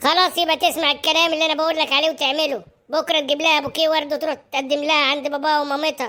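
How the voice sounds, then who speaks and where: A cartoonish character voice from a woman, high-pitched, very fast, with very even loudness and monotone, flat intonation. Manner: commanding.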